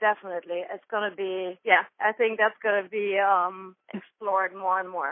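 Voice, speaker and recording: A woman with a German accent speaks at medium pitch and a moderate pace. Her intonation is monotone and flat, with hardly any pauses. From Germany. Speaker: dancer, choreographer. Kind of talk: interview answer.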